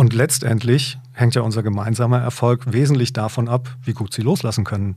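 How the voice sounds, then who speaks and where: The voice has a dark, mellow tone, somewhat breathy, with fairly even intonation. The recording is very clean, with a silent background. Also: man, medium pitch for a man, moderate pace. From northern Hesse, Germany. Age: 50s. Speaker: company managing director. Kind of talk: business interview.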